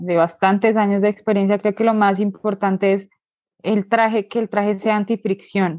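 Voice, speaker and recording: Her intonation is monotone and flat. The woman's pitch sits in the medium range. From Colombia, Bogotá. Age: 20s. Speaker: motorcycle traveler. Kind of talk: interview.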